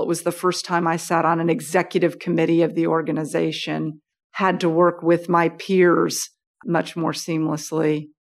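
A very clean recording with a silent background captures a woman with an American accent, a fairly low pitch, and vocal fry. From United States. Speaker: business executive. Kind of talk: interview. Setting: office.

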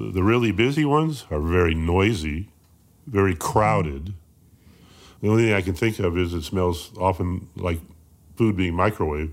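A man's very deep, low voice at a moderate pace, lively intonation and long, frequent pauses, in a very clean recording with a silent background. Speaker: blind vending and snack stand operator. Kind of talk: interview.

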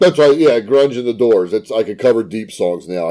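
Delivered at a fairly quick pace, the voice has a dark, mellow tone and ordinary pitch variation. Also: man.

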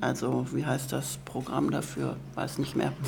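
Noticeable background noise and audible room echo accompany a woman as she speaks. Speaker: course participant. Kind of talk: interview.

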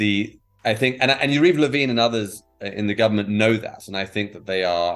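A man speaks with a British accent at a fairly low pitch. Music plays in the background. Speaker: protest organizer. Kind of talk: interview conversation.

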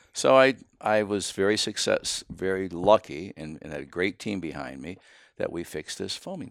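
In a Pennsylvania accent with vocal fry, the speaker moves at a moderate pace with lively intonation and big swings in loudness, on a very clean recording with a silent background and a dry, close sound with no echo. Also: man, very deep, low pitch for a man. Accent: Pennsylvania American English. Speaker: building products executive. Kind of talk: casual chat. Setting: at guest's home. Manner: blunt, outspoken.

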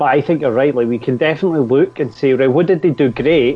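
A man with a Scottish accent speaks against noticeable background noise. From Scotland. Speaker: labour organizer. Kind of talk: casual chat.

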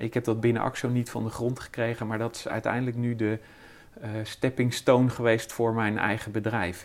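A man's voice at a medium pitch. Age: 50s. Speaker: chemist and business owner. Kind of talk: interview. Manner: halting.

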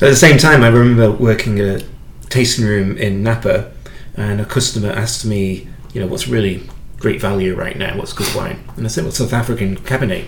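Through noticeable background noise, a man with a fairly low pitch speaks at a fairly quick pace with ordinary pitch variation. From UK. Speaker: podcast host and wine educator. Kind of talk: interview.

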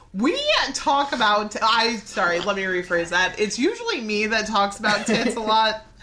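At a moderate pace, a woman speaks at a fairly high pitch with ordinary pitch variation and very even loudness. Noticeable background noise is present. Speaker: podcast host. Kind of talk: casual chat.

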